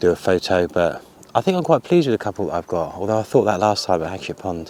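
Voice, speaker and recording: Very fast delivery with ordinary pitch variation, in a dry, close sound with no echo. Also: man, fairly low pitch for a man. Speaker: photography vlogger. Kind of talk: casual vlog narration. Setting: outdoors.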